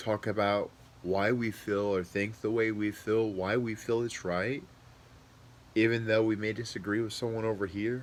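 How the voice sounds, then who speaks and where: A man is speaking. His pitch is medium and his pace moderate. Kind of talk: monologue commentary. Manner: conversational, informal.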